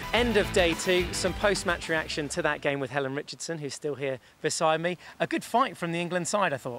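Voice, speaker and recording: Fairly quick speech with ordinary pitch variation and music in the background. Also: man, high pitch for a man. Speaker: sports presenter. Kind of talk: live TV sports presenter link.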